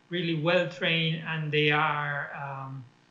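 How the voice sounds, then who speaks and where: Audible room echo surrounds a man speaking at a fairly high pitch with fairly even intonation. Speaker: education policy expert. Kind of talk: conference talk. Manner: hesitant, many fillers.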